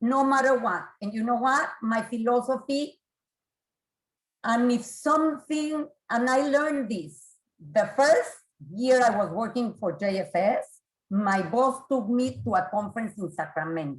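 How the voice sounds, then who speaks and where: With lively intonation, a plain, everyday voice unfolds at a fairly slow pace. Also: woman, fairly high pitch for a woman. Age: 50s. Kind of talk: presentation to professionals.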